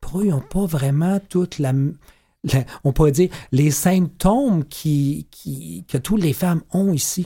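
A man speaks at a very slow pace in a fairly high, dark, mellow voice. His pitch varies an ordinary amount. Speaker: medical doctor and author. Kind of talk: radio interview. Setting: studio.

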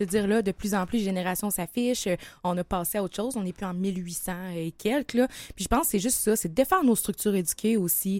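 A woman talks at a very fast pace with a medium pitch and ordinary pitch variation. The sound is dry and close with no echo. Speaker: singer-songwriter. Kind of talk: interview.

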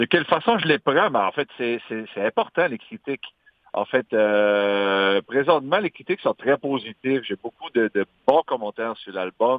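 This man talks at a fairly slow pace with lively intonation. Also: medium pitch for a man. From Magdalen Islands, Quebec. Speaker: singer-songwriter. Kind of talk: interview.

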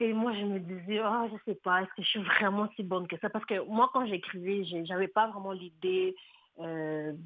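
A woman has a medium pitch with ordinary pitch variation in an unremarkable speaking voice. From DR Congo. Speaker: author and poet. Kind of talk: radio interview.

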